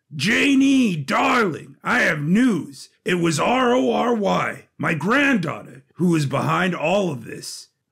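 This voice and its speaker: A man puts on a raspy character voice, high-pitched and very slow. His pitch swings very widely. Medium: audio drama. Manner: pompous, theatrical.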